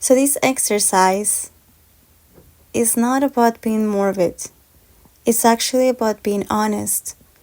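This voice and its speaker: Pausing long and often, a woman speaks at a fairly slow pace in a calm tone, her pitch fairly high, with a non-native accent. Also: fairly even intonation. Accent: foreign. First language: Spanish. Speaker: podcast host. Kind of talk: podcast monologue.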